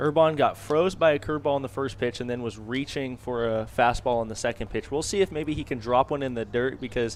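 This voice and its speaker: With a plain, everyday voice, a man of medium pitch speaks at a fairly quick pace with lively intonation. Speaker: color commentator. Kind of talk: baseball color commentary analysis.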